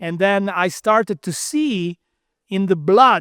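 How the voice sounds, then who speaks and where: A man with an Italian accent at a fairly slow pace, on a very clean recording with a silent background. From Italy. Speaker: quantum physicist. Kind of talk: interview.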